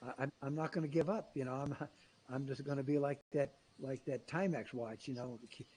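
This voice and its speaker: A man's somewhat breathy, fairly high voice with a dark, mellow tone, ordinary pitch variation and a fairly quick pace. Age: 80s+. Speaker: business executive and author. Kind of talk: interview. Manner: animated.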